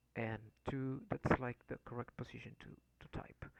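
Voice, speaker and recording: A man whispering at a fairly slow pace, in a dry, close sound with no echo. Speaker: programming learner, coding tutorial maker. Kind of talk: tutorial. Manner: halting, many fillers.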